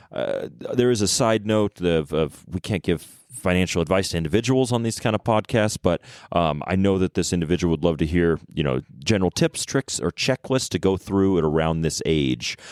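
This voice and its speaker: Recorded very cleanly against a silent background, with a dry, close sound and no echo, a man with a very deep, low pitch speaks at a fairly quick pace, his loudness very even and his intonation lively. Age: 30s. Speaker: podcast co-host. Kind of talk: casual podcast conversation. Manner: hesitant, many fillers.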